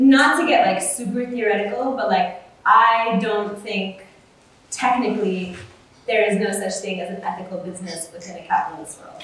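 Against noticeable background noise, a woman talks at a moderate pace with a fairly high pitch and ordinary pitch variation. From US, Oklahoma suburb. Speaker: ethical fashion activist. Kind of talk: panel discussion before live audience. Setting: live event with audience at a university. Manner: casual, many fillers like 'like' and 'um'.

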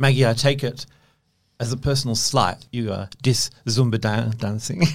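This man's voice is medium-pitched and somewhat breathy. He talks at a moderate pace with ordinary pitch variation. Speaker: podcast host. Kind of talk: interview conversation.

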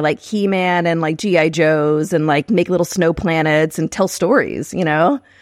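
In a very clean recording with a silent background, a woman with an American accent uses a plain, everyday voice, fairly low in pitch, with ordinary pitch variation at a moderate pace. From Texas, San Marcos. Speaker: screenwriter. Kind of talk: casual chat.

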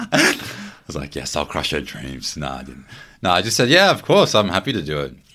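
On a very clean recording with a silent background, a man with an Australian accent speaks at a fairly quick pace in a very deep, low voice with vocal fry and lively intonation. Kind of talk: casual chat.

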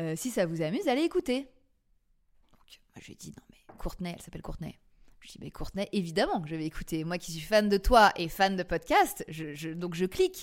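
Lively intonation runs through a woman's medium-pitched voice. She talks at a fairly quick pace. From Paris, France. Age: 40s. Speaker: podcast creator and former TV casting director. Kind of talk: interview testimony. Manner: hesitant, many fillers and repetitions.

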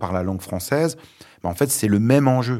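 A man talks with ordinary pitch variation. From France, born in Lebanon. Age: 40s. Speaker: journalist and author. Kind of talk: interview. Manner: hesitant, many fillers.

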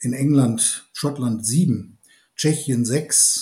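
With a medium pitch and a dark, mellow tone, a man talks at a fairly slow pace and sounds somewhat breathy. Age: 60s. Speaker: malting company executive and brewer. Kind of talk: expert interview.

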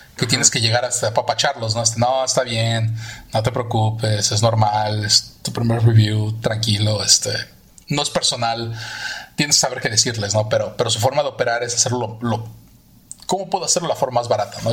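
Noticeable background noise surrounds a man talking at a fairly quick pace. His voice sits at medium pitch with ordinary pitch variation. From Mexico City. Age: 40s. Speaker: visual effects artist. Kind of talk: interview.

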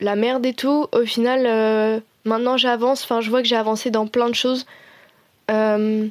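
A woman speaks at a high pitch and moderate pace in a monotone, flat intonation, the sound dry and close with no echo. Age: 20s. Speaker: design student. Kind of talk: personal testimony interview. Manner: hesitant, many fillers.

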